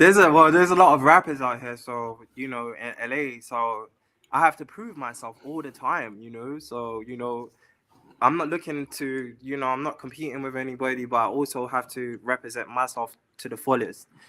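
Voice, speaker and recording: This man has an English accent and a medium pitch with ordinary pitch variation, speaking at a moderate pace with big swings in loudness. The recording is very clean, the background silent. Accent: pronounced English. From London, England. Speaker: singer-songwriter and model. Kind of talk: interview. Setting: live stream.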